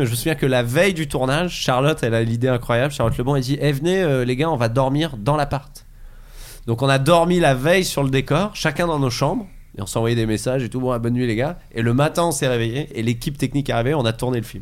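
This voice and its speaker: Talking at a very fast pace, the man holds a medium pitch with ordinary pitch variation. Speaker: comedian. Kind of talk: casual chat.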